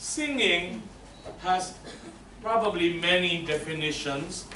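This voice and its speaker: Through audible room echo and noticeable background noise, a man speaks at a very slow pace with ordinary pitch variation. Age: 60s. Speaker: voice teacher. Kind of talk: lecture.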